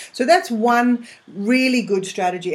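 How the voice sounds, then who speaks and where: A woman talks with noticeable background noise in the recording. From England, London. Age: 50s. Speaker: money coach and former finance broker. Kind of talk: interview. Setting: live interactive internet radio show.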